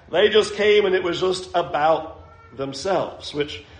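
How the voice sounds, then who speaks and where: A man talks with ordinary pitch variation. The recording has audible room echo and noticeable background noise. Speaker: preacher. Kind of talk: sermon.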